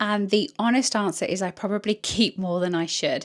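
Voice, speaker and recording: A woman with a British accent speaks in a medium pitch with ordinary pitch variation. The recording is very clean, with a silent background. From UK. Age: 30s. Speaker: fashion content creator. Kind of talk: try-on haul vlog. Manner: chatty, enthusiastic.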